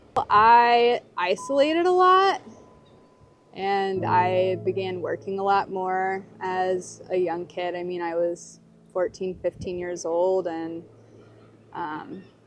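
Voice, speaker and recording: Speaking with a Southern US accent, a woman talks at a very slow pace. Her medium-pitched voice shows ordinary pitch variation. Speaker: documentary interviewee, person in addiction recovery. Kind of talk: personal testimony. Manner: hesitant, with many fillers.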